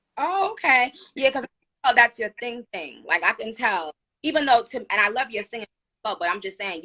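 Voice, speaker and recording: In a New York accent, a woman speaks at a fairly quick pace with a fairly high pitch, lively intonation and big swings in loudness, the sound dry and close with no echo. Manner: casual, slangy.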